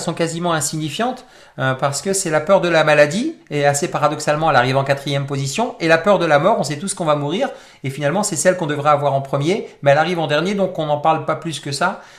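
A man at a very fast pace, with fairly high pitch and ordinary pitch variation. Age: 40s. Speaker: personal development coach. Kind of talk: interactive webinar talk.

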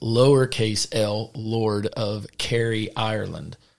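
A man speaks with a Southern US accent at a medium pitch. His intonation is monotone and flat. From US South.

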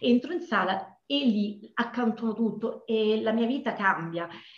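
A woman speaks at a fairly slow pace in a medium pitch. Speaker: dance teacher. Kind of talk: interview. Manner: energetic; halting with fillers.

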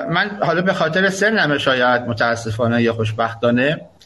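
At a fairly quick pace, a man speaks at a medium pitch with a bright, sharp tone. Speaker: university professor. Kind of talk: live panel discussion. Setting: live internet radio.

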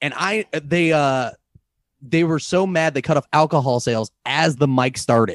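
In a dry, close sound with no echo, a man speaks at a moderate pace in an animated tone with ordinary pitch variation. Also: fairly high pitch for a man. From US Midwest, St. Louis. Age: 30s. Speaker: comedian and podcaster. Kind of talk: casual chat.

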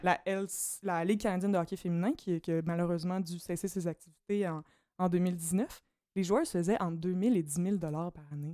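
A woman with a Quebec accent speaks in a dark, mellow tone and fairly even intonation, captured on a very clean recording with a silent background. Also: moderate pace. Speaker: doctoral student in political science. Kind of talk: casual chat.

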